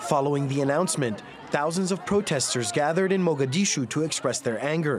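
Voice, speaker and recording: A fairly high male voice with ordinary pitch variation, music playing in the background. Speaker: news reporter. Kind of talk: news report voiceover. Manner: formal.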